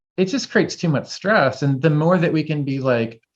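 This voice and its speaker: A man talks at a fairly quick pace in an animated tone, somewhat breathy. His intonation is lively. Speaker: herbalism teacher. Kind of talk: casual chat. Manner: fast.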